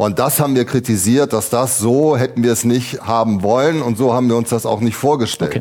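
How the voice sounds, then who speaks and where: Speaking at a fairly quick pace with hardly any pauses, a man uses an unremarkable speaking voice of medium pitch and ordinary pitch variation. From Ratingen, Rhineland. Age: 50s. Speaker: state legislator, mayoral candidate. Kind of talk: panel debate.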